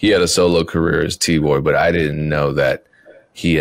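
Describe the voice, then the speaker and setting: A man talks with an American accent. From US Midwest, Wisconsin. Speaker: music producer and podcast host. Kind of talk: casual chat.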